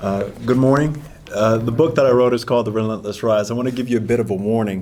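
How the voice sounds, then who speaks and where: With an American accent, this speaker sounds dark and mellow in tone. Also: man. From Ohio, Shaker Heights near Cleveland. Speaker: author and Navy veteran. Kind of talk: talk to an audience.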